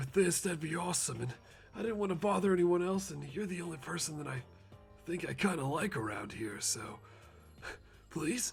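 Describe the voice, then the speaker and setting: A man puts on a raspy character voice, high-pitched with lively intonation, talking at a fairly quick pace but with long, frequent pauses. Clear music plays in the background. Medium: solo performance. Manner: rambling, casual, slangy.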